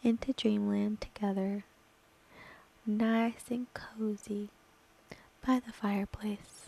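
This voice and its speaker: A woman speaks at a fairly high pitch with monotone, flat intonation and a very slow pace. The sound is dry and close, with no echo. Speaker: ASMR creator / gaming streamer. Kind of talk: ASMR roleplay storytelling. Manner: soft, slow, intimate.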